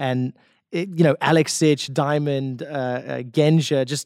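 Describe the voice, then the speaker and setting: This man talks at a fairly slow pace and a fairly high pitch. The sound is dry and close with no echo, in a very clean recording with a silent background. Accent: South African. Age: 30s. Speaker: esports caster and former pro player. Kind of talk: casual chat.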